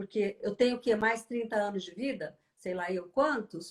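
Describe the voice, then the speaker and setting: The speaker is a woman with lively intonation. Her pace is moderate. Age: 60s. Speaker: journalist and interview show host. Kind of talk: casual interview chat.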